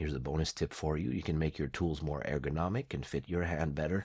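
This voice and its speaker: A man speaks with a very deep, low pitch, vocal fry and fairly even intonation. The recording is very clean, with a silent background. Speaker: craft tutorial creator. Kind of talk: tutorial. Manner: casual, some hesitations.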